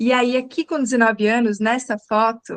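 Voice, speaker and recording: A woman with a southern Brazilian accent, fairly high-pitched, at a moderate pace, in a dry, close sound with no echo. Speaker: communication coach. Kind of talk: live online talk.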